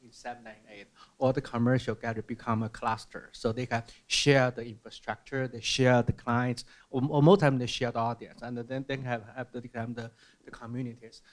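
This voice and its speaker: Against a quiet background, a man with a Chinese accent speaks at a moderate pace with fairly even intonation. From mainland China. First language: Mandarin Chinese. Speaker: museum curator; panelist. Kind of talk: panel discussion. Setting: stage with audience. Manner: halting, repeats words. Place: hall. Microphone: handheld.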